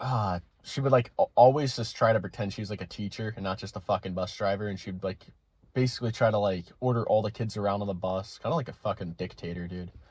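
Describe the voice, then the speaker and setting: Animated and somewhat breathy, a man talks at a very fast pace with fairly low pitch. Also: ordinary pitch variation. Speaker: storytelling vlogger. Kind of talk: casual storytelling.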